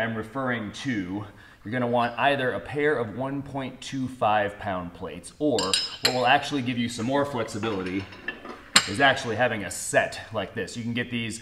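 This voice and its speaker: Over loud background noise, a man talks at a moderate pace with ordinary pitch variation. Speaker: strength coach. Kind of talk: tutorial. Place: gym. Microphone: camera far.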